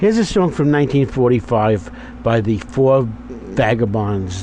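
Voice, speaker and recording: Noticeable background noise behind a man's voice, moving at a moderate pace. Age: 70s. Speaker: doo-wop radio DJ. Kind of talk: radio DJ show.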